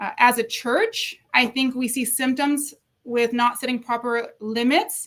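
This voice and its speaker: This woman has a high voice. Her pitch varies in an ordinary way. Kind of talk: interview on faith and mental health. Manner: fast.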